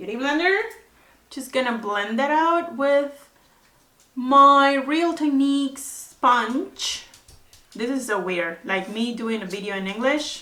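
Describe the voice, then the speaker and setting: A woman's raised, projected voice, high-pitched and bright, sharp in tone, with a Spanish accent, lively intonation and a very slow pace, with audible room echo. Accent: Spanish-accented English, non-native. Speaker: beauty vlogger. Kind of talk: makeup tutorial. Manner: casual, hesitant with fillers.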